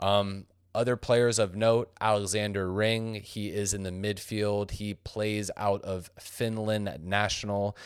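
A man with an American accent, fairly low in pitch and flat in monotone, very slow with hardly any pauses, on a very clean recording with a silent background. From San Diego, California. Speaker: soccer podcast co-host. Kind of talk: casual chat; match preview.

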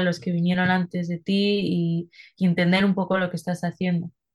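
Against a quiet background, a somewhat breathy voice speaks at a fairly slow pace with monotone, flat intonation. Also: woman. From Spain (Madrid). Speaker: singer-songwriter. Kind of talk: interview.

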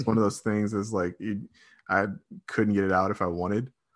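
An unremarkable speaking voice from a man with an American accent, fairly low in pitch, fairly quick, with fairly even intonation and a quiet background. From Michigan, Redford near Detroit. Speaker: sports writer and podcaster. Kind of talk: casual chat.

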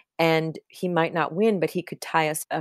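At a fairly slow pace, a plain, everyday voice comes through on a very clean recording, silent in the background, dry and close with no echo. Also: woman. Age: 50s. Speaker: writer and editor. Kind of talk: interview.

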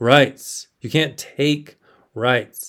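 A man with an American accent talks with ordinary pitch variation. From South Texas. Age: 30s. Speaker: podcast host, Navy veteran. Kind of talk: solo monologue podcast. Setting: home spare bedroom. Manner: casual, filler-heavy.

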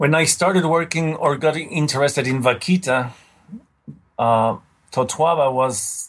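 With a Spanish accent, a man speaks very slowly in a somewhat breathy voice with ordinary pitch variation. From Mexico. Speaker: marine mammal scientist. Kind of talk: interview. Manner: halting.

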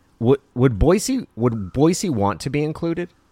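In an American accent, a man speaks with very wide pitch swings, the sound dry and close with no echo on a very clean recording with a silent background. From southern Oregon (Klamath Falls). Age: 40s. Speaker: podcast co-host. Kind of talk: casual chat.

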